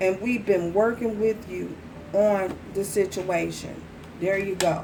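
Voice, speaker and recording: Soft-spoken and very slow, a woman talks at a medium pitch in a monotone, flat way, with audible room echo around her. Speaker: tarot reader. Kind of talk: tarot reading. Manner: repetitive.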